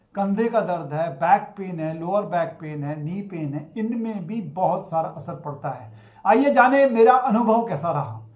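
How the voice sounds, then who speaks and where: A man's pitch swings very widely as he speaks. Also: big swings in loudness. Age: 60s. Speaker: acupressure therapist sharing health experience. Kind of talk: personal testimony.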